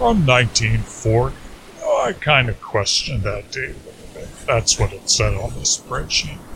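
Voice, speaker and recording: Noticeable noise can be heard in the background. A man's voice comes through it. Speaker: comedy music podcast host. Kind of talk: comedic monologue. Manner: loud.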